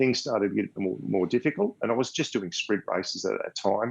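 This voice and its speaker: Against a quiet background, a man with an Australian accent speaks fairly quickly at a fairly low pitch. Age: 60s. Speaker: blind triathlete. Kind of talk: interview.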